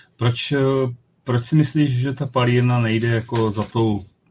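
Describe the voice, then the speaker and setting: A man's plain, everyday voice with fairly even intonation at a fairly slow pace. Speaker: podcast host. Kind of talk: casual chat.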